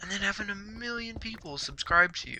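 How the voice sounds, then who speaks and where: The voice is quiet. Its pitch varies in an ordinary way. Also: man. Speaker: gaming youtuber. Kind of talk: gameplay commentary. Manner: casual, hesitant with repetitions.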